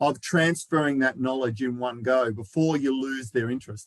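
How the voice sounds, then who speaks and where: Moderate pacing from a man with an Australian accent. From Australia, Melbourne. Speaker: knowledge manager, presenter. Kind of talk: lecture.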